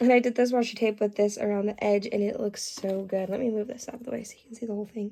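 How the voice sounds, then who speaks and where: A woman speaks in a dark, mellow tone with fairly even intonation. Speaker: diamond painting vlogger. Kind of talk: casual craft vlog. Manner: chatty with fillers.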